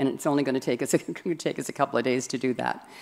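A woman against a quiet background. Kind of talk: church announcement. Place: church. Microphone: podium.

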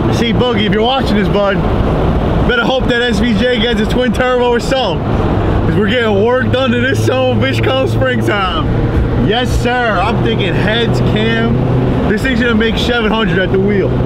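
Loud background noise surrounds a man speaking at a moderate pace. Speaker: car enthusiast vlogger. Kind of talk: casual vlog chat. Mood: excited, boastful. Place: car. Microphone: camera far.

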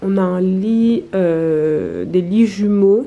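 A woman talks with a dark, mellow tone and ordinary pitch variation. Light background noise sits behind her. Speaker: travel vlogger. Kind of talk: casual vlog chat. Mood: pleased, relaxed. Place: home room. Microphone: phone near.

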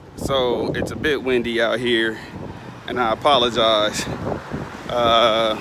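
Noticeable background noise behind a man's dry voice with no echo. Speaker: vlogger. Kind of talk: casual vlog chat. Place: street. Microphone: phone near.

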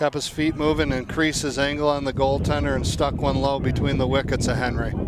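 Noticeable background noise surrounds a man speaking at a moderate pace. His pitch is fairly high and his intonation monotone and flat. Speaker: color commentator, lacrosse coach. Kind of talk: live commentary. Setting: outdoors. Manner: frequent fillers and restarts.

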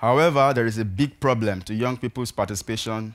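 The speaker talks at a very fast pace in a Nigerian accent with ordinary pitch variation. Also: man. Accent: Nigerian (Yoruba) English. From Nigeria, southwest (Ibadan). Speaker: peacebuilding activist. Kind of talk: talk to an audience. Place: stage. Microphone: headset.

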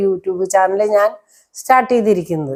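A woman's dark, mellow tone. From Kerala, Thrissur. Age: 60s. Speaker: vlogger and domestic worker. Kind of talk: personal life story monologue.

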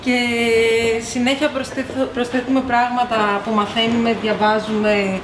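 The speech moves at a fairly slow pace with ordinary pitch variation. Noticeable background noise is present. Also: woman. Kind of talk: interview answer. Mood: friendly and relaxed. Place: cafe.

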